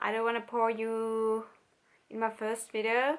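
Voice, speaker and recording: In a Finnish accent, a woman with a fairly high pitch speaks in a very clean recording over a silent background. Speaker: vlogger. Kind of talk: personal vlog. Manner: halting.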